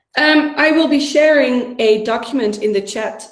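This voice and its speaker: A somewhat breathy woman talks with ordinary pitch variation. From Netherlands. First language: Dutch. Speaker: workshop facilitator. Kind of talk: online workshop instructions. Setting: video call from home.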